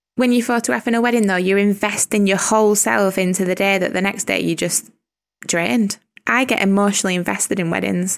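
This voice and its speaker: A woman with a strong Lancashire accent and a medium pitch talks very fast, her loudness staying very even throughout. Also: ordinary pitch variation. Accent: strong Lancashire northern English. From Lancashire, northern England. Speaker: wedding photographer and podcaster. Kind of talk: casual interview chat.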